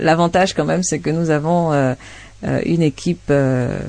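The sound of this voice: A woman talks at a low pitch and a fairly slow pace, with a slightly mellow tone, fairly even intonation, and vocal fry.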